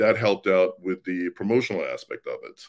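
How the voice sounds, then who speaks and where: At a moderate pace, a man speaks in a fairly low pitch on a very clean recording with a silent background. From Sweden. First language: Swedish. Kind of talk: casual interview.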